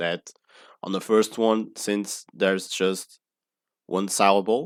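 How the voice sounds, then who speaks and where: A man with a Portuguese accent, fairly low in pitch, at a very slow pace. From Portugal. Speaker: pronunciation tutor. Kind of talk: tutorial. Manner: halting.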